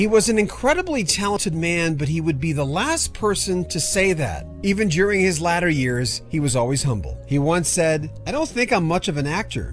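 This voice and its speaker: A man at a moderate pace with hardly any pauses, music in the background. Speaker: news presenter. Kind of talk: obituary news commentary.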